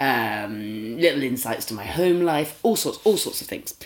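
A fairly slow delivery with a British accent. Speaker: podcast host. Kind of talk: casual chat.

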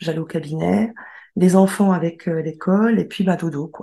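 Her tone dark and mellow, a woman speaks somewhat breathily at a fairly low pitch and moderate pace, with ordinary pitch variation. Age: 30s. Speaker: medical secretary. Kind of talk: personal testimony.

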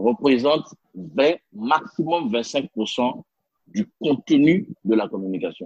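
A man's fairly high voice with vocal fry, very wide pitch swings and a very slow pace, in a dry, close sound with no echo. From Benin. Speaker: leadership consultant and interpreter. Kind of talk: interview. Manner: hesitant fillers.

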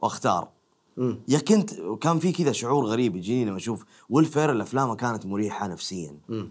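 Speaking at a fairly quick pace, the man has a medium pitch and very wide pitch swings. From Saudi Arabia, Dammam. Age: 20s. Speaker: actor and stand-up comedian. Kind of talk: casual interview chat.

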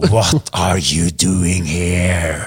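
A man speaks in a put-on character voice with a very deep, low pitch. His delivery is raspy. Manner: scary, accusing.

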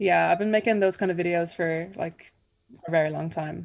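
A woman with an Irish accent speaks at a moderate pace and fairly low pitch. Her intonation is monotone and flat. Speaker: singer-songwriter. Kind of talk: radio interview.

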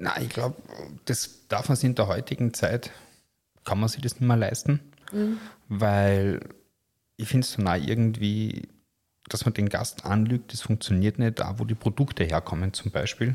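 Speaking at a moderate pace, a man sounds somewhat breathy and leaves long, frequent pauses. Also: ordinary pitch variation, very clean recording, silent background. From Lower Austria, Austria. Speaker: top chef and restaurateur. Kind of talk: interview.

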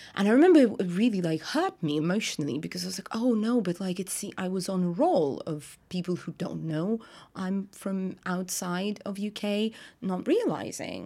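In a very clean recording with a silent background, a woman with a slight Russian accent talks at a moderate pace, her medium-pitched voice dark and mellow in tone with ordinary pitch variation. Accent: light Russian-accented English. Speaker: actor and writer. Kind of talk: casual interview. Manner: animated.

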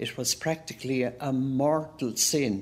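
A woman's very deep, low voice with an Irish accent at a very slow pace. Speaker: interviewee, older woman. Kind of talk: reminiscence.

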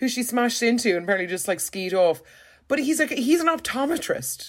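With an Irish accent, the speaker talks at a very fast pace with very wide pitch swings, in a very clean recording with a silent background. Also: woman. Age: 30s. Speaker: podcast co-host. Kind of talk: casual chat. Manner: animated.

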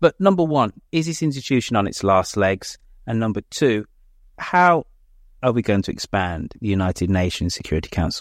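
Here a man with a Birmingham accent speaks at medium pitch with very wide pitch swings and a moderate pace. The sound is dry and close with no echo, a very clean recording with a silent background. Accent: Birmingham (Brummie) English. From Birmingham, England. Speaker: podcast host. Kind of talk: panel discussion. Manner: animated.

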